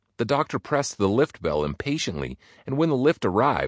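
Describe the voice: What the clip holds is plain reading aloud.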